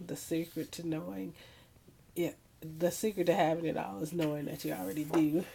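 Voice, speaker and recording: A woman's very deep, low voice with a dark, mellow tone, lively intonation and vocal fry. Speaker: scrapbooking hobbyist. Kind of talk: casual talk to camera.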